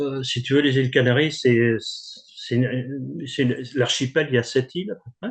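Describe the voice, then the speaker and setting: A man's voice at a fairly slow pace, fairly even in intonation, with big swings in loudness. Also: hardly any pauses. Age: 60s. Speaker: composer and author. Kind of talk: interview. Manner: halting.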